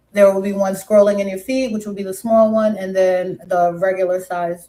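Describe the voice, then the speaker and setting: Speaking at a moderate pace in an American accent, a woman with a medium pitch has a dark, mellow tone and monotone, flat intonation. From New York City, Brooklyn, West Indian family. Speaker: live streamer. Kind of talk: casual live stream chat. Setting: live stream.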